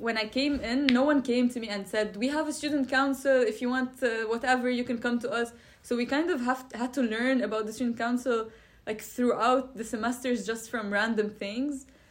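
Against noticeable background noise, a woman talks at a fairly quick pace in a high pitch, her intonation fairly even. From Lebanon. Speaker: architecture student. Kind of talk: interview.

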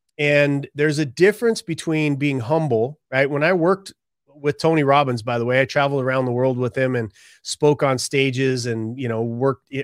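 A man's normal speaking voice at a medium pitch and moderate pace, dry and close with no echo, on a very clean recording with a silent background. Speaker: author and speaker. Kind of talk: casual interview chat.

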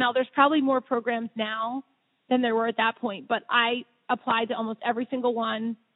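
A woman's high-pitched voice with an American accent. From Philadelphia area, Pennsylvania. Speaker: plastic surgeon. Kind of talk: interview.

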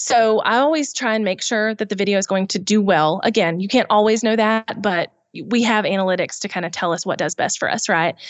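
A woman with a Southern US accent talks at a fairly quick pace with hardly any pauses. Her pitch is medium, with ordinary pitch variation. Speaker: YouTube business expert. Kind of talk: podcast interview.

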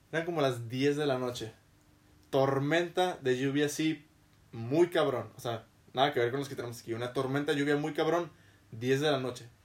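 A man speaks in an ordinary speaking voice, fairly high in pitch. His pace is moderate and his intonation fairly even. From Mexico. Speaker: podcast host. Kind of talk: casual chat. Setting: studio.

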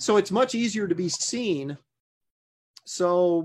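A man with lively intonation. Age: 50s. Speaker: comic book artist. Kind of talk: casual interview.

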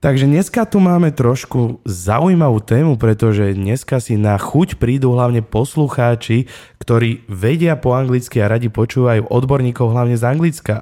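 A man with a Slovak accent speaks at a moderate pace with hardly any pauses. His pitch is medium, his tone dark and mellow, with ordinary pitch variation and very even loudness. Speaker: podcast host.

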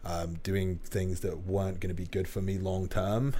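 With an English accent, a man speaks at a moderate pace in a very deep, low pitch, somewhat breathy and with fairly even intonation. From England. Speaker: online fitness coach. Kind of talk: casual chat. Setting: studio.

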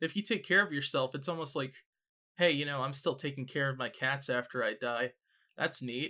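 A man with a Canadian accent speaks at a fairly high pitch and a fairly quick pace, his tone bright and sharp with ordinary pitch variation. The recording is very clean, with a silent background. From Canada. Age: 20s. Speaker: podcast co-host. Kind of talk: casual chat.

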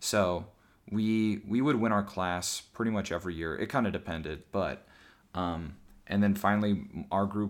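A man talks with an American accent. The recording is very clean, with a silent background. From US Midwest. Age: 20s. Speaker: podcast host. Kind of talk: casual chat.

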